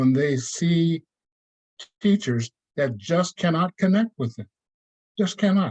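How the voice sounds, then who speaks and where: A somewhat breathy man speaks at a moderate pace in a dry, close sound with no echo. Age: 70s. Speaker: community member at public meeting. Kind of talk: public meeting comment.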